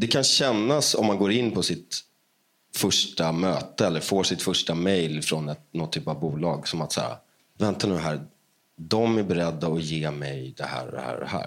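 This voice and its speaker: With a very deep, low pitch and some vocal fry, a man talks at a moderate pace using lively intonation. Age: 30s. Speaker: musician. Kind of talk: interview.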